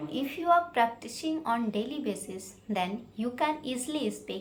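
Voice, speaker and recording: Her pitch is fairly high and her intonation lively. This woman speaks at a fairly slow pace. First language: Hindi. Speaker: English learning vlogger. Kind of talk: informal tutorial. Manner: halting, with many fillers.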